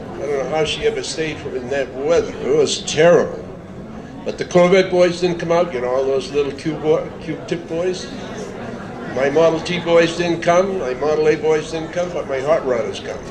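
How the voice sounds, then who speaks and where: Amid noticeable background noise and audible room echo, a man with a high-pitched voice speaks at a moderate pace. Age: 70s. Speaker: car show sponsor, local business owner. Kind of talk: informal speech at community event.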